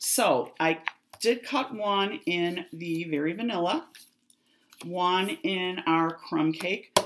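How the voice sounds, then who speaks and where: With a Chicago accent, a woman talks at a medium pitch with lively intonation. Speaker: craft demonstrator. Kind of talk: tutorial.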